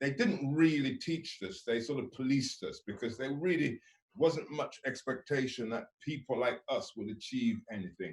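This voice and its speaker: Somewhat breathy, a man with a fairly high voice speaks at a moderate pace with lively intonation. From England, Birmingham (born in Jamaica). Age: 60s. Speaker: farmer and food business owner. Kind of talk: motivational talk. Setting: live video webinar without audience. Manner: hesitant, with many fillers.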